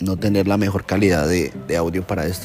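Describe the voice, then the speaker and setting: A man talks at a moderate pace with a very deep, low pitch and fairly even intonation. Music is heard in the background. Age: 30s. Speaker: personal storyteller. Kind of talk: personal testimony.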